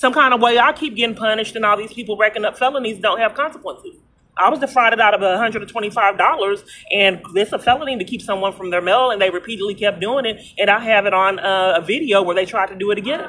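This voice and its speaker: Light background noise sits under a woman's voice. She speaks at a very fast pace with ordinary pitch variation. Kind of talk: phone conversation complaint. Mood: frustrated, aggrieved. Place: street. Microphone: phone near.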